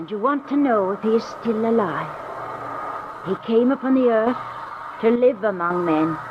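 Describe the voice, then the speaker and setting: Over noticeable background noise, a woman with a fairly high pitch and lively intonation speaks at a moderate pace, leaving long, frequent pauses. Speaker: little old woman. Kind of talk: 1940s radio drama dialogue.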